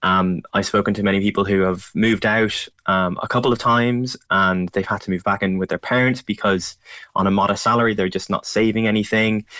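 Delivered in an Irish accent at a fairly quick pace, the speech runs with hardly any pauses, a monotone, flat intonation and very even loudness. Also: man, fairly low pitch for a man. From Ireland, County Louth. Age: 20s. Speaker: journalist. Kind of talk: radio interview. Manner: halting, many fillers.

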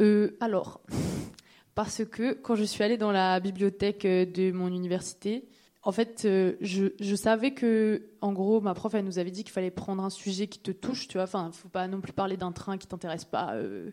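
At a moderate pace, a woman speaks at medium pitch with a dark, mellow tone and fairly even intonation, in a very clean recording with a silent background. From Réunion, Saint-Denis. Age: 20s. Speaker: DJ. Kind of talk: live panel conversation. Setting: stage with audience.

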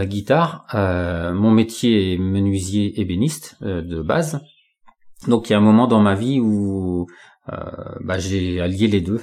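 A man's unremarkable speaking voice, fairly low in pitch. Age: 40s. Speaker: job-seeking carpenter and guitarist. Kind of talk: casual interview.

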